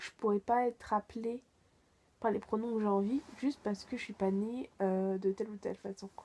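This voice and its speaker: The intonation stays fairly even throughout. The tone is dark and mellow, with a dry, close sound and no echo. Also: woman, moderate pace. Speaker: youtuber. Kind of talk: personal vlog reflection. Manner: hesitant, many fillers.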